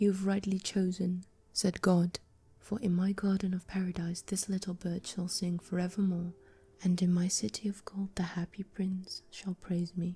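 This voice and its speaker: A soft-spoken woman uses a medium pitch with a monotone, flat intonation. Her tone is dark, mellow and somewhat breathy. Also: moderate pace. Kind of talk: ASMR book reading. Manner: soft-spoken, relaxing.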